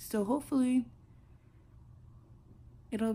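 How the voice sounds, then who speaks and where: A woman with an American accent and a dark, mellow, somewhat breathy tone. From South Carolina. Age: young. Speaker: college freshman. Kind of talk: casual vlog talk to camera. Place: home room. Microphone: phone near.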